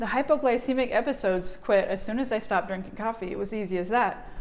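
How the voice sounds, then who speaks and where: Here is a woman with an unremarkable speaking voice. Her pitch is fairly high and her pace fairly quick. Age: 40s. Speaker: energy healer and vlogger. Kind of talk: personal vlog testimony.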